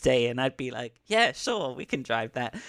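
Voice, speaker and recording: A man talks at a fairly quick pace in a strong British accent. His pitch is medium, and the sound is dry and close with no echo. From Britain. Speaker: scientist and pro wrestler. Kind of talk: casual interview chat.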